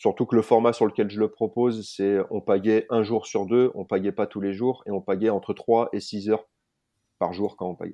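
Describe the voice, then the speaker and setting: Against a quiet background, a man with a dark, mellow tone speaks at a fairly low pitch and a moderate pace in a flat monotone. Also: dry, close sound with no echo. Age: 40s. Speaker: adventurer and bushcraft instructor. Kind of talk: interview.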